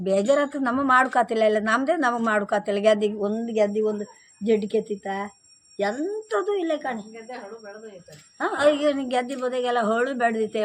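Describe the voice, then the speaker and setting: A woman with a fairly high pitch speaks in a coastal Karnataka accent. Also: ordinary pitch variation. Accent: Kundapura Kannada dialect. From Kundapura region, coastal Karnataka. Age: 70s. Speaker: village elder, former farm labourer. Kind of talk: interview answer, casual conversation.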